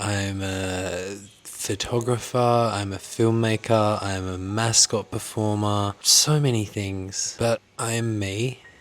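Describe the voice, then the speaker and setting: Speaking at a very slow pace, a man with an Australian accent has a fairly low voice. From Australia (Hobart, Tasmania). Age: 20s. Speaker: actor and content creator. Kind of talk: personal vlog confession.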